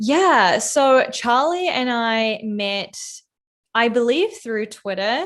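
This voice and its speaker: Against a quiet background, a woman with a New Zealand accent speaks at a very slow pace. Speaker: product designer and content creator. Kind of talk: casual interview chat. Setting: livestream. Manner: casual, frequent fillers.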